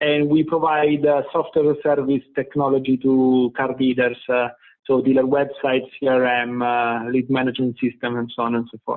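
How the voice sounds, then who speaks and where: A man with an Italian accent, moderate pace and fairly even intonation. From Italy. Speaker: tech company CEO. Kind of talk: interview. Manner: halting, many fillers.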